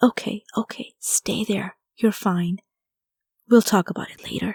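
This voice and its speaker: A woman whispers quietly in a breathy, soothing put-on character voice at a moderate pace. The recording is very clean and dry, close with no echo, over a silent background. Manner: whispering, soothing.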